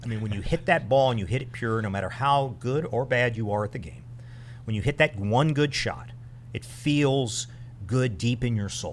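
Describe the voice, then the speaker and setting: The man's voice is somewhat breathy and medium in pitch. His pitch varies in an ordinary way. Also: moderate pace. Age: 60s. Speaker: retired military officer and charity co-founder. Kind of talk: podcast interview. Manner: halting.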